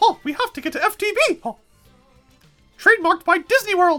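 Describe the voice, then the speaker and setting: With faint music in the background, the speaker uses a put-on character voice at an extremely high pitch. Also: moderate pace. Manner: cartoonish.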